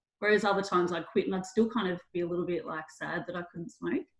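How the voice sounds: A woman at a fast pace, fairly low in pitch, with fairly even intonation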